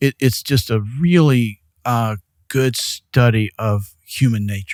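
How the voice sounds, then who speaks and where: The sound is dry and close with no echo as a man speaks very slowly at a medium pitch, with ordinary pitch variation. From US South (Mississippi, Alabama, Arkansas, Louisiana). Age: 60s. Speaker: real estate developer. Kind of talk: interview conversation. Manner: halting, many fillers.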